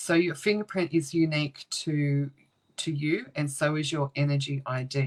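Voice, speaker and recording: The pace here is fairly slow. The voice carries an Australian accent. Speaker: paranormal investigator and spiritual teacher. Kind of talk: online class livestream. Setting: livestream from home computer.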